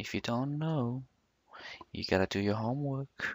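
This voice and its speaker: A man talks at a fairly slow pace with a non-native accent and ordinary pitch variation. The recording is very clean and the background silent. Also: dry, close sound with no echo. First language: not English. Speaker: 3D graphics tutorial maker. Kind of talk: screen-recorded software tutorial. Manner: casual, thinking aloud.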